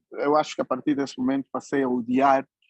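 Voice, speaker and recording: A man's medium-pitched voice at a moderate pace, dry and close with no echo. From Angola, Uíge province. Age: 60s. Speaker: writer and journalist. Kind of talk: conference talk. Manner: hesitant, many fillers.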